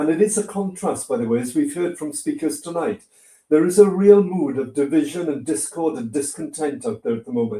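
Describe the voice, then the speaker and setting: Lively in intonation, a man with a Welsh accent speaks in a dark, mellow tone at a fairly high pitch. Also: fairly quick pace. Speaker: politician. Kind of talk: speech. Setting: online livestream.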